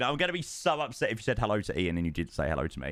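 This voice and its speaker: A man with an English accent speaks in an animated tone on a very clean recording with a silent background. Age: 20s. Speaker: streamer. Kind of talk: casual chat.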